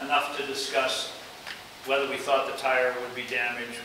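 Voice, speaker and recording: Background noise is noticeable. The room echo can be heard too. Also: man. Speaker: guest. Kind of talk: lecture storytelling. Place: classroom. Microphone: camera far.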